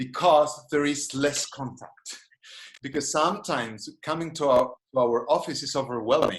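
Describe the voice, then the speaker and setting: Speaking fairly slowly in a Spanish accent, a man uses a fairly high pitch with ordinary pitch variation. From Spain. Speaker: psychologist and gestalt therapist. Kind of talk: webinar lecture and Q&A. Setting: video call. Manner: halting, many restarts.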